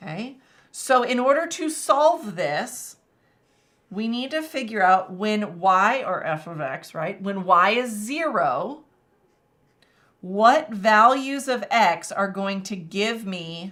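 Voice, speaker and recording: A woman with a slight Texas accent, bright and sharp in tone, at a very slow pace with long, frequent pauses, very wide pitch swings and big swings in loudness. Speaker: math teacher. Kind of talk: live-stream tutorial. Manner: casual, many fillers.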